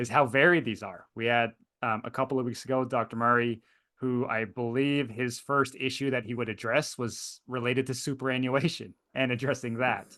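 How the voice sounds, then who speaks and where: A man with a North American accent, a medium pitch and a bright, sharp tone, at a moderate pace with monotone, flat intonation over a quiet background. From Canada. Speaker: high school economics teacher and seminar host. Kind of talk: online seminar interview. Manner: hesitant, many fillers and repetitions.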